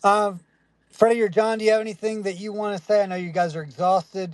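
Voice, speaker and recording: The sound is dry and close with no echo, with music playing in the background. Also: man. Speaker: crypto project host. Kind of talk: livestream AMA.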